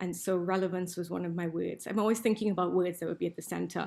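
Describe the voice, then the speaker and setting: A woman speaks at a very fast pace. Her tone is dark and mellow, with vocal fry. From Trinidad and Tobago. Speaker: business school professor. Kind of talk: panel presentation. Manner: animated.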